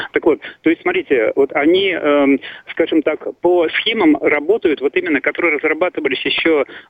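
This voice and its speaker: Noticeable background noise behind a fairly quick-paced man. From Russia, Saint Petersburg. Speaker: caller. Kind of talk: phone-in call. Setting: phone call. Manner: halting.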